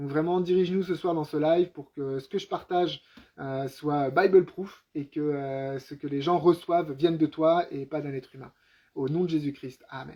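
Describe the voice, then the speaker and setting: With big swings in loudness, a man speaks in a fairly high pitch and fairly even intonation. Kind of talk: live-stream Bible teaching; spoken prayer. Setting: live stream at home with wife. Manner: fast; hesitant with many fillers.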